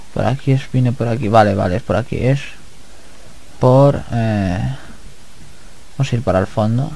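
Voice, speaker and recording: This man has a medium-pitched, somewhat breathy voice with a dark, mellow tone and ordinary pitch variation. He speaks at a moderate pace, leaving long, frequent pauses. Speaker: gaming YouTuber. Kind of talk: let's play commentary. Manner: relaxed.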